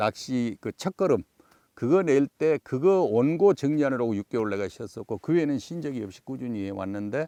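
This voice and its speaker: This man has a fairly high pitch and a dark, mellow tone. His pitch swings very widely, and the sound is dry and close with no echo. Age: 70s. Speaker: fishing TV show host. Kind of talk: interview. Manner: conversational with fillers.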